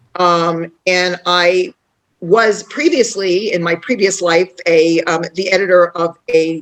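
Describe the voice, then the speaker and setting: A woman talks in a fairly low pitch with a New York accent. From New York City, Queens. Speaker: author and tour guide. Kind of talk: online panel introduction.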